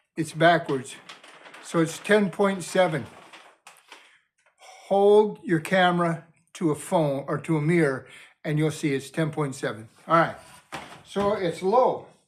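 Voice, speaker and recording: A man speaks loudly at a high pitch for a man, at a fairly slow pace with ordinary pitch variation. Long, frequent pauses break up his speech. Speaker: preacher building a cabin. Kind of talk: casual tutorial vlog. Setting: indoors in unfinished cabin.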